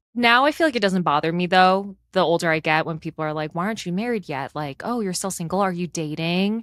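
A woman with an American accent speaks at a very fast pace with hardly any pauses. Her pitch is fairly low, with ordinary pitch variation. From Chicago. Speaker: podcast co-host. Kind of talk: casual chat. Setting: remote recording.

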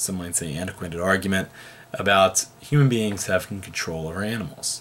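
Speaking at a fairly quick pace, a man talks. His pitch sits fairly low. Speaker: philosophy teacher. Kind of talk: lecture. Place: home room. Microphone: webcam.

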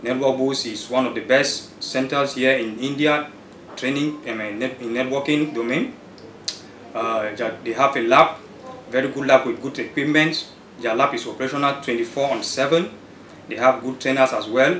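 In a room with audible echo and light background noise, a man with a medium-pitched voice and fairly even intonation speaks at a moderate pace with long, frequent pauses. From Cameroon, Douala. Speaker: networking student. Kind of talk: testimonial. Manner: halting. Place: office. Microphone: camera far.

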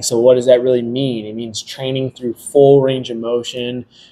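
A man speaks in a dark, mellow tone with a flat, monotone delivery. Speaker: fitness trainer, podcast host. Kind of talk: podcast explanation. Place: gym. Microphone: studio mic.

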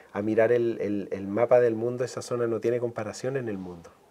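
This man has a dark, mellow tone and talks at a fairly quick pace. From Chile, Concepción area; Chile. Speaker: marine biologist and university academic; guest. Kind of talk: interview. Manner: halting, many repetitions and fillers.

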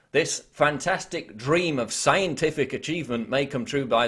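Ordinary pitch variation marks a man's speech over a quiet background. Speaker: web video commentator. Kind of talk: scripted news-style commentary reading article quotes. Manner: formal; measured, emphatic reading. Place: home room.

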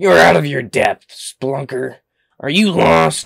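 A raspy, put-on character voice moves at a fairly slow pace, pitched low-to-middle. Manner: gruff, imposing.

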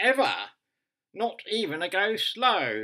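A man speaks in a raised, projected voice with a bright, sharp tone. His pace is very slow, and the background is quiet. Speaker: comic monologue performer. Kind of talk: comedic monologue addressing someone. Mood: dry, mock-serious humour. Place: home room. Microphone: webcam.

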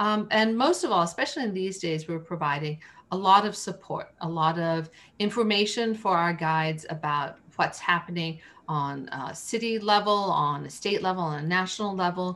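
The speaker here is a woman. She keeps a moderate pace, her pitch varying by ordinary amounts. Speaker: interview guest. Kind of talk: interview answer. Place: home room. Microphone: video call.

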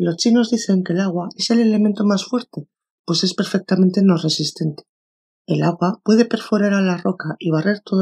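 A woman with a Castilian accent talks at a moderate pace in a medium pitch, her dark, mellow tone somewhat breathy and her pitch varying in an ordinary way. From Spain. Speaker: audiobook narrator. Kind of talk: audiobook reading of a self-help book.

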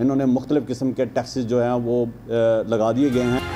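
Over light background noise, a man speaks in a dark, mellow tone with fairly even intonation. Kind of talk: press conference statement. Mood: complaining, critical of government. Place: meeting room. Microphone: podium.

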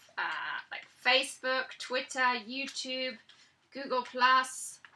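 In a raised, projected voice, a woman with a British accent speaks very slowly at a high pitch. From Britain. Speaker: author and blogger. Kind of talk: vlog tutorial. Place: home room. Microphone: webcam.

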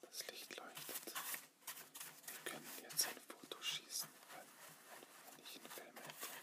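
A man whispers at a very slow pace. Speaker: student. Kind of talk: ASMR whisper video. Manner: whispered. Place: home room. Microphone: phone near.

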